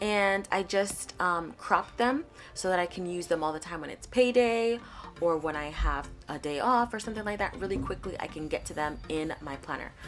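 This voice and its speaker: A woman at medium pitch and moderate pace, lively intonation, big swings in loudness, music in the background. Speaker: planner video creator. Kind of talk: tutorial voice-over. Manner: soft-spoken; quiet.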